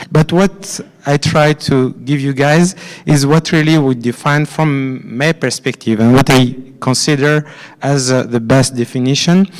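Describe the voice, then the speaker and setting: The speaker has a French accent and talks at a fairly slow pace. Loudness stays very even while pitch varies in an ordinary way. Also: man, fairly high pitch for a man. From France. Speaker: finance executive at a conference. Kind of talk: conference presentation. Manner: halting, many fillers and repetitions.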